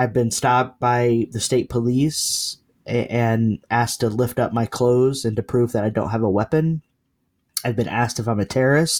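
A man speaks in an ordinary speaking voice with fairly even intonation, recorded very cleanly against a silent background with a dry, close sound and no echo. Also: medium pitch for a man, moderate pace, very even loudness. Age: 40s. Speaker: theologian and activist. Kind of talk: interview conversation.

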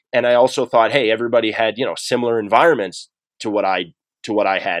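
A man with a Maritime Canadian accent and a medium pitch speaks at a very fast pace, in a very clean recording with a silent background and a dry, close sound with no echo. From rural New Brunswick, Canada. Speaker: entrepreneur, former hockey player. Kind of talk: interview. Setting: office.

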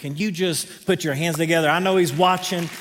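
There is audible room echo around a man speaking with a Southern accent. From North Carolina, Greenville. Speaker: pastor. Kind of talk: sermon. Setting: stage with audience.

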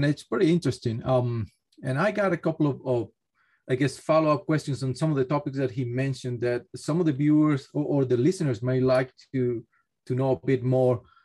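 At a fairly quick pace, a man with a fairly high, somewhat breathy voice speaks with ordinary pitch variation. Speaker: geotechnical engineer, guest questioner. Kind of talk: casual interview.

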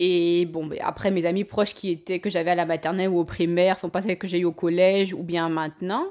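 A woman's fairly low, flat monotone at a fairly quick pace. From Cameroon, Yaoundé. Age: 30s. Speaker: podcast guest. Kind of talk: casual chat.

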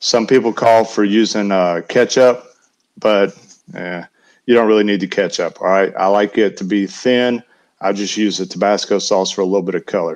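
Man with a Southern US accent at a moderate pace. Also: fairly low pitch for a man, fairly even intonation. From US South, Alabama Gulf Coast and Western North Carolina. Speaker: barbecue caterer. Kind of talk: casual chat.

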